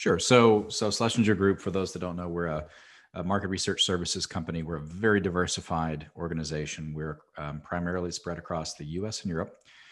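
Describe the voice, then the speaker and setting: A man's very deep, low voice in an American accent, fairly quick, with fairly even intonation over a quiet background. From US, rural cattle ranch. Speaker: market research executive. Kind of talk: interview. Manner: halting, many fillers and repeats.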